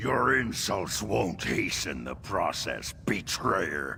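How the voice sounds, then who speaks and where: Put-on character voice from a man, fairly low in pitch, at a very slow pace, with clear background noise. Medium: video game. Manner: cold, condescending.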